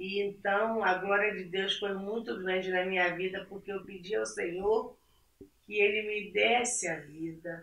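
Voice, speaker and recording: At a fairly slow pace, a woman talks with a normal speaking voice and fairly even intonation. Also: medium pitch for a woman. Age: 60s. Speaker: churchgoing mother. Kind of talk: casual chat.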